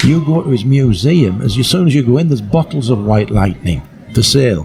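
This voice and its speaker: With music in the background, a man talks at a fairly quick pace and a medium pitch. His pitch swings very widely while his loudness stays very even. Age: 60s. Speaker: music historian and campaigner. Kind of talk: podcast interview. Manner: halting.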